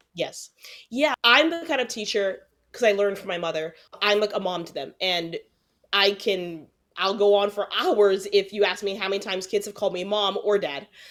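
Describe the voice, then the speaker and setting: A woman speaks with an ordinary speaking voice at a medium pitch and a moderate pace. Her pitch varies in an ordinary way, while her loudness swings widely. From New Jersey. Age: 20s. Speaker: private school teacher. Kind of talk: interview conversation.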